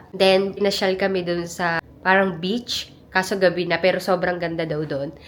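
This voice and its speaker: Speaking at a moderate pace and medium pitch, a woman is heard with noticeable background noise. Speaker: travel vlogger. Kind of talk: casual vlog. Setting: hotel room.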